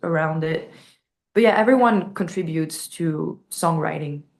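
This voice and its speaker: With a French accent, a woman speaks at a fairly low pitch over a quiet background. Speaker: metal band vocalist. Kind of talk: interview. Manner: halting, many fillers.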